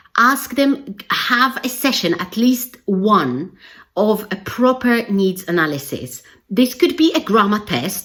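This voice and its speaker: Speaking with a non-native accent, a woman uses a medium pitch with very wide swings and some vocal fry. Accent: non-native English speaker. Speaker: English language teacher trainer. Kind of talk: educational video talk to camera. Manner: casual conversational.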